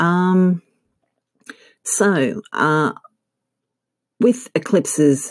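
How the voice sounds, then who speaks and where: Lively intonation from a woman with an Australian accent. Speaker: astrologer. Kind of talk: scripted-style informative talk. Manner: hesitant, frequent filler words.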